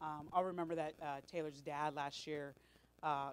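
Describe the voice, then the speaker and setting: This woman has a very deep, low pitch and an American accent. She talks at a fairly quick pace. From Los Angeles. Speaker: volunteer coordinator. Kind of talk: staff meeting talk. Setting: meeting room with audience, microphone. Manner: loud; animated.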